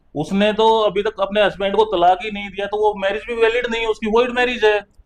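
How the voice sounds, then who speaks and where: With a Haryanvi accent, the speaker keeps a moderate pace and monotone, flat intonation. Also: man, high pitch for a man. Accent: Haryanvi dialect unchanged. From Haryana. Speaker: Supreme Court lawyer. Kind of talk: interview discussion.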